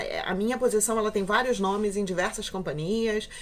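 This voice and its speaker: A woman's medium-pitched voice. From Brazil, Rio de Janeiro. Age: 30s. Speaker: cruise ship documentation officer, vlogger. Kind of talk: casual vlog introduction. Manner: halting, many fillers.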